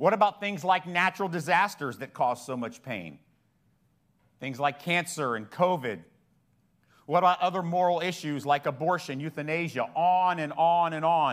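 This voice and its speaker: A man talks at a fairly high pitch and a moderate pace, with ordinary pitch variation. He has a normal speaking voice, and the recording is very clean with a silent background. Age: 50s. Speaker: pastor. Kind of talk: sermon.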